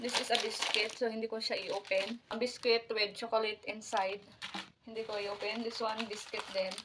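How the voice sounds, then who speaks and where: A woman's fairly high, flat, monotone voice at a fairly quick pace, against noticeable background noise. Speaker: vlogger. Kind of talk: unboxing vlog. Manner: casual.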